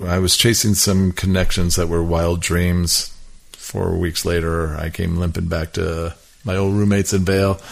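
In an American accent, a man with a very deep, low pitch speaks at a moderate pace in a flat monotone. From Milwaukee, Wisconsin. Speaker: music industry executive. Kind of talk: casual chat. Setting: in person at host's home.

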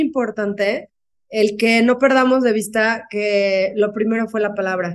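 A woman is speaking. Her pace is very slow. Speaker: author and speaker. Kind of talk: interview.

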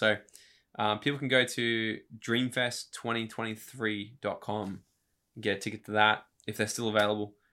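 This man talks with an Australian accent and fairly even intonation. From Queensland, Australia (Brisbane, Gold Coast). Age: 30s. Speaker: motivational speaker. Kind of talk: casual chat.

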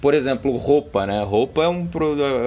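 Medium in pitch, a man's voice runs at a fairly quick pace. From Rio de Janeiro, Brazil. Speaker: tech company partnerships manager. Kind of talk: podcast interview. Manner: halting, many fillers.

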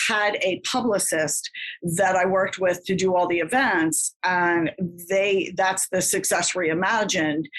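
This woman talks at a medium pitch. Ordinary pitch variation runs through her speech. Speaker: author. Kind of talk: interview. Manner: fast.

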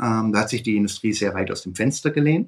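Here a man talks at a moderate pace with lively intonation. He has an ordinary speaking voice. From Swabia, Germany. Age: 50s. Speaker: fund industry consultant. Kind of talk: interview.

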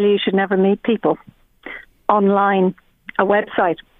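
Here a woman talks in an Irish accent. Her pitch is medium. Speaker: fertility coach. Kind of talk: casual chat.

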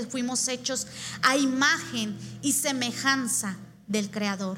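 A woman speaks in a raised, projected voice with an animated tone. Her sound is bright and sharp, and her pace is fairly slow. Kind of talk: sermon. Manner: earnest, conversational preaching that moves to exhortation; animated, rhetorical questions.

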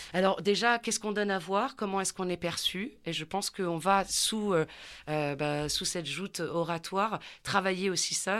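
A woman with an unremarkable speaking voice, medium pitch, ordinary pitch variation and a fairly slow pace, on a very clean recording with a silent background. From southern France. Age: middle-aged. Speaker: voice coach and actress. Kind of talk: interview. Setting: studio.

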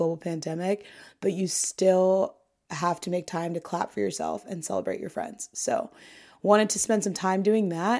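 A woman with a General American accent speaks at a moderate pace in a dark, mellow tone with fairly even intonation, on a very clean recording with a silent background. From US Midwest. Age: 20s. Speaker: podcast host. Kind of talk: casual interview chat.

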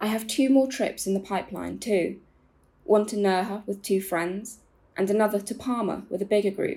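Her voice has vocal fry and a dark, mellow tone at a medium pitch. The woman talks at a moderate pace with fairly even intonation. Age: 20s. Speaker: Gen Z columnist. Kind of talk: reading own essay aloud.

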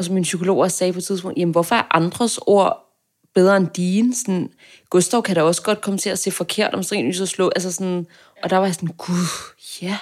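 Speaking at a fairly quick pace, a woman uses a normal speaking voice of medium pitch and fairly even intonation, on a very clean recording with a silent background. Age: 20s. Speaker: journalism student. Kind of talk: casual interview.

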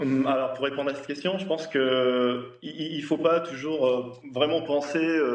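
The intonation stays fairly level amid audible room echo and noticeable background noise. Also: man. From Tunisia. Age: 30s. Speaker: engineer. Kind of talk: TV panel interview. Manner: hesitant, repetitive.

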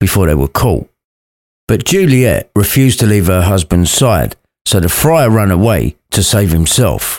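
Here a man with a British accent speaks at a moderate pace in a fairly low voice. The recording is very clean, with a silent background. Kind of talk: fairy-tale story narration, irreverent retelling read aloud. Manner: lively, cheeky with crude asides.

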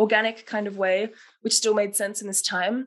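At a fairly quick pace, a woman talks in an Australian accent. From Melbourne, Australia. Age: 20s. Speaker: set and costume designer. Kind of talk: casual interview.

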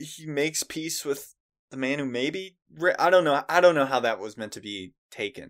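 A man with an unremarkable speaking voice talks at a moderate pace in a fairly high pitch, with lively intonation and big swings in loudness, on a very clean recording with a silent background. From United States. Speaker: podcast co-host. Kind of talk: casual chat.

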